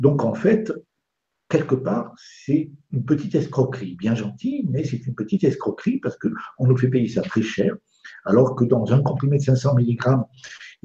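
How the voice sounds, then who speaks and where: A man's somewhat breathy, dark and mellow voice at a medium pitch and moderate pace. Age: 70s. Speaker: doctor and lecturer. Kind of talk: interview on live web TV. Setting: live web broadcast.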